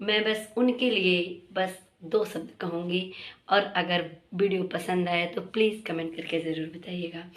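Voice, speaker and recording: Amid audible room echo, a woman with a medium pitch speaks at a very slow pace with fairly even intonation. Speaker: vlogger. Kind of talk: casual vlog talk.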